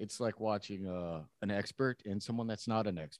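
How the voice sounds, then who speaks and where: Recorded dry and close with no echo against a quiet background, a man speaks with ordinary pitch variation. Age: 40s. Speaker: podcast co-host, jiu-jitsu hobbyist. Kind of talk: casual chat.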